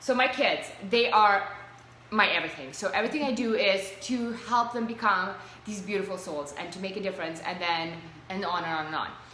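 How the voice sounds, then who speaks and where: A woman speaks at a fairly quick pace with lively intonation. Noticeable background noise and audible room echo surround her voice. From Russia. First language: Russian. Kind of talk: casual interview. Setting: live video stream.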